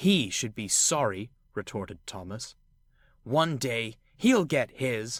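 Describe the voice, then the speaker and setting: Growling in a put-on character voice, a man speaks at medium pitch and a fairly slow pace in a very clean recording with a silent background. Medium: read story. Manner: bubbly.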